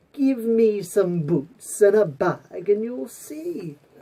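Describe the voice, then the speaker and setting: In a put-on character voice, the speaker drawls at a very slow pace with a fairly high pitch. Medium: read story. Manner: crafty, persuasive.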